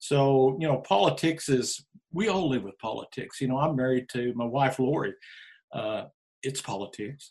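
A man with an American accent has a normal speaking voice at a medium pitch. He talks at a moderate pace with ordinary pitch variation. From Oklahoma Panhandle. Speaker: team roper and county commissioner candidate. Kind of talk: casual interview.

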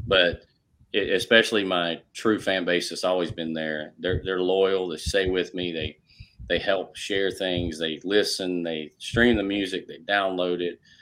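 In a very clean recording with a silent background, a man with a Carolinas accent speaks fairly slowly in a very deep, low voice with fairly even intonation. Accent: Southern US (Carolinas). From US South, South Carolina (Rock Hill). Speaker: country music singer-songwriter. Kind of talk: casual interview chat.

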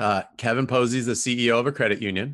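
A medium-pitched man with a Southern Californian accent and fairly even intonation, against a quiet background. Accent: Southern Californian American. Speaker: women's college soccer coach. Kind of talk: casual interview chat. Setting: video call. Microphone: new podcast equipment.

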